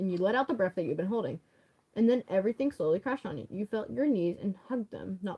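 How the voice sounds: The speaker uses a natural reading voice. The reading comes across that way throughout.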